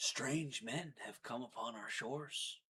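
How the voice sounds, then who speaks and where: Putting on a character voice, a man speaks in a raspy, medium-pitched tone at a fairly slow pace with ordinary pitch variation. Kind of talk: stilted, old-fashioned. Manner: slow, solemn.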